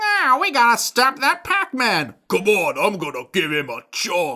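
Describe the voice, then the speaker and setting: This is a put-on character voice with an English accent as part of the act. It is fairly high in pitch and delivered at a fairly slow pace. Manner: tough, gangster-like.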